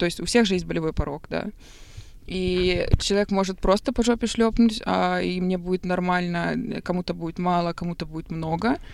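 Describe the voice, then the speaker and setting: An ordinary speaking voice from a woman, medium in pitch, with fairly even intonation at a moderate pace. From Belarus, Minsk. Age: 20s. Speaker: podcast guest. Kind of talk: casual chat.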